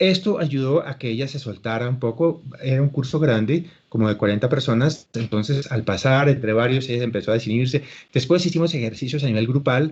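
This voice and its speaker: Fairly high-pitched and somewhat breathy, a man speaks at a fairly quick pace. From Colombia. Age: 60s. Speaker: actor and acting teacher. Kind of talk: interview.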